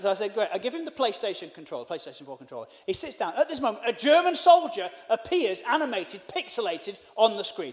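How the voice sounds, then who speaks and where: Over noticeable background noise, a man speaks very fast at a high pitch, with very wide pitch swings and big swings in loudness. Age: 40s. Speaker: stand-up comedian. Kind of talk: stand-up. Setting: stage with live audience, also streamed online.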